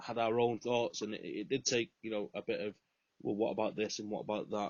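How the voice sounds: Speaking at a fairly quick pace, a man has a fairly low pitch, a slightly mellow tone and little pitch movement.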